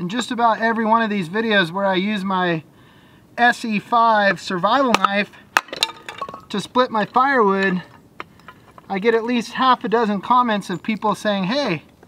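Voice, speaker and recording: A man's raised, projected voice at a moderate pace, fairly even in intonation, with long, frequent pauses, dry sound with no echo and light background noise. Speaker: van life vlogger. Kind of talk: casual vlog chat. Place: open country.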